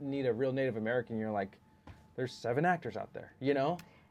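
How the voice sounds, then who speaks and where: Very fast speech with music playing in the background. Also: man. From Southern California, Orange County. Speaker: podcast co-host. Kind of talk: casual chat.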